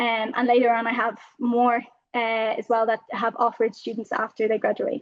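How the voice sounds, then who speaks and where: Speaking with an Irish accent, a woman uses a fairly high pitch. Her intonation is monotone and flat. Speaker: university student. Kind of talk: presentation. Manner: fast.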